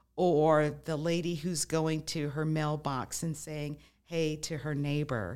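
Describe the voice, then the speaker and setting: On a very clean recording with a silent background, a woman with an American accent speaks very slowly in a very deep, low pitch with monotone, flat intonation. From Las Vegas, Nevada. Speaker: retired professor and counselor. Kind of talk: casual chat.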